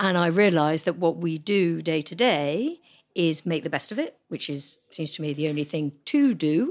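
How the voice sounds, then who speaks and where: With a normal speaking voice, a woman talks at a fairly low pitch and ordinary pitch variation in a very clean recording over a silent background. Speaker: spouse of a person with Parkinson's. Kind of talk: casual chat. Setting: pub.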